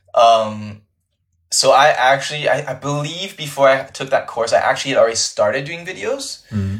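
A man speaks at a moderate pace. The recording is very clean, with a silent background. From Canada, much of childhood in China. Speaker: content creator. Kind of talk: interview. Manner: casual, filler-heavy.

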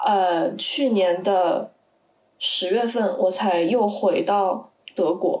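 This woman's voice shows ordinary pitch variation. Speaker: university student abroad. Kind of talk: casual chat.

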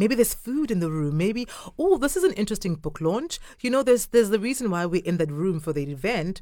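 Lively intonation and an animated tone, in a Zulu accent. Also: woman. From South Africa, Durban. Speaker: theatre company founder. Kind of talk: casual interview. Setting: studio. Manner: animated, laughing.

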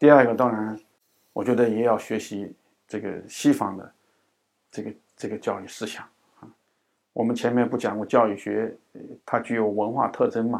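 A man at a moderate pace, monotone and flat, with big swings in loudness and long, frequent pauses. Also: medium pitch for a man. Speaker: education professor. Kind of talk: interview. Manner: frequent hesitation fillers.

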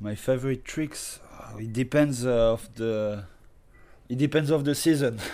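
This man speaks at a fairly slow pace with a French accent, his pitch medium and his tone dark and mellow. His loudness swings widely. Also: ordinary pitch variation. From France. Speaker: professional skateboarder. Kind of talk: casual interview.

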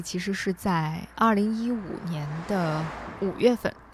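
Over noticeable background noise, a woman speaks at medium pitch with lively intonation. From northern China, Hebei. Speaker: podcast host. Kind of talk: scripted narration.

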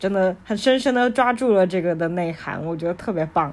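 An unremarkable speaking voice from a woman, medium-pitched with ordinary pitch variation, at a moderate pace on a very clean recording with a silent background. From China. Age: young. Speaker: podcast host sharing books. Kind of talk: casual book-review monologue.

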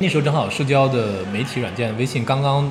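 The pitch varies in an ordinary way. Audible room echo is present. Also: man. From China, Jiangsu. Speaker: independent bookshop owner. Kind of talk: interview conversation. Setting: café in Beijing.

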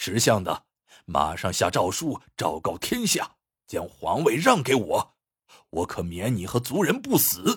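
A man does a put-on character voice with a fairly low pitch, a fairly bright tone and a husky, rough edge, swinging very widely in pitch at a fairly slow pace over a very clean recording with a silent background.

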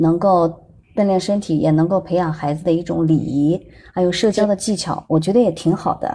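Against a quiet background, a woman speaks at a fairly quick pace with a dark, mellow, somewhat breathy tone. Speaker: parent and former broadcaster. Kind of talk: casual chat. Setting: online voice room. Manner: soft-spoken.

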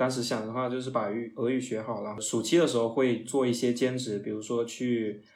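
Over audible room echo, a man talks at a fairly quick pace. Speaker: foreign trade employee. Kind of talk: casual interview.

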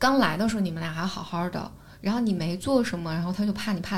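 Audible room echo surrounds a woman's medium-pitched voice, which carries vocal fry and moves at a fairly quick pace. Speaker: podcaster and psychology platform founder. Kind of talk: casual chat. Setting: studio.

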